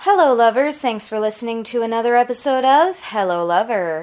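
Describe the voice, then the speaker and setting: A woman speaks in an ordinary speaking voice at a moderate pace, with ordinary pitch variation. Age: 30s. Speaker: podcast host. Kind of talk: casual chat; podcast intro.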